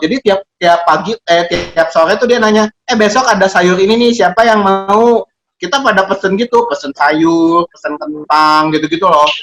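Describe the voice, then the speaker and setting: A man speaks high in pitch at a moderate pace with ordinary pitch variation and very even loudness. The sound is dry and close with no echo, with music in the background. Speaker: co-host of an advice show reading listener letters. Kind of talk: casual chat.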